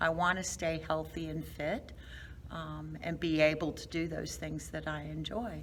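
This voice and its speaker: A woman's fairly slow speech in audible room echo. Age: 60s. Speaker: fitness class member, long-term care worker. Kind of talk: interview. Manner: hesitant, many fillers.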